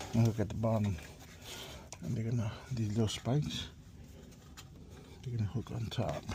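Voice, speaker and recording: At a moderate pace, a man speaks quietly with fairly even intonation and long, frequent pauses. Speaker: office furniture installer. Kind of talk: POV work walkthrough. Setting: on-site office with people working. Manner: speaking low, quiet; casual, halting.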